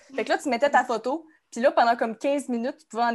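A woman with a Quebec accent speaks at a high pitch with ordinary pitch variation. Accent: Québécois French. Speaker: Instagram account founder. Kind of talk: casual chat.

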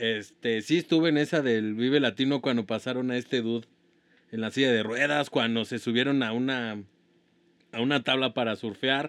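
A man with a Mexican accent speaks at a moderate pace, his medium pitch held in fairly even intonation. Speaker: podcast co-host. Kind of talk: casual chat.

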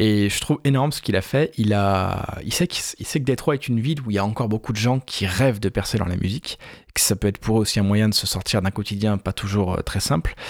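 The recording is very clean, dry and close, with a silent background and no echo. A man talks very fast at a fairly low pitch with ordinary pitch variation. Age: 30s. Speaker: film podcast host. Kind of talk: casual chat.

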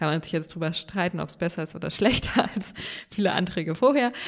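Here a woman speaks in a normal speaking voice at a fairly low pitch. Her pace is fairly quick. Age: young. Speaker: state politician and podcast co-host. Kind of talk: casual chat. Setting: remote call from home office.

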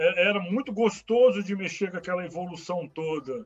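A man with a high pitch and ordinary pitch variation talks at a fairly slow pace. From Brasília, Brazil. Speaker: IT technical support worker. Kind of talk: casual interview. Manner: halting, many fillers.

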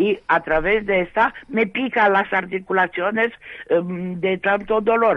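A woman speaks at a fairly slow pace with ordinary pitch variation in an unremarkable speaking voice. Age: 60s. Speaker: radio caller with rheumatoid arthritis. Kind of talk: casual chat.

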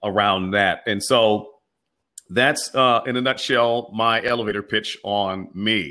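At a fairly slow pace, a man speaks with fairly low pitch and fairly even intonation. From Pittsburgh, Pennsylvania. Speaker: pastor and community organizer. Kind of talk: interview. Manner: halting, many fillers.

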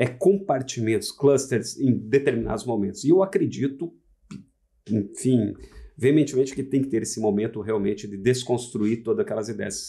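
His tone is dark and mellow, his pitch medium for a man. He talks at a moderate pace with lively intonation. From Santa Catarina, southern Brazil. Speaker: furniture designer and architect. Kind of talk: casual chat. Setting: studio. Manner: formal.

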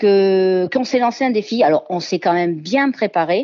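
A woman with lively intonation. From southern France, Ardèche and Marseille. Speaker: home cook and barbecue champion. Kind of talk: radio interview. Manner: hesitant, many fillers.

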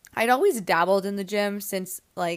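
A woman with a Canadian accent talks at a moderate pace and a medium pitch, in an ordinary speaking voice. The recording is very clean, with a silent background. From Canada, Toronto area. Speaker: pilates instructor and podcast host. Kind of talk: casual solo talk answering listener questions.

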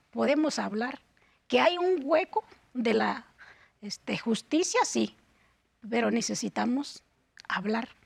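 Long, frequent pauses from a woman talking at a very slow pace. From Guerrero mountain region, Mexico. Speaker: human rights defender. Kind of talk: interview. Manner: halting, many fillers.

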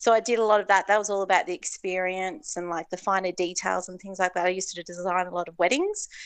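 Hardly pausing at all, a woman with an Australian accent races along at a very fast pace with a medium pitch, fairly even intonation and big swings in loudness, over a quiet background. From Tasmania, Hobart. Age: 40s. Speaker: entrepreneur. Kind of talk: casual interview.

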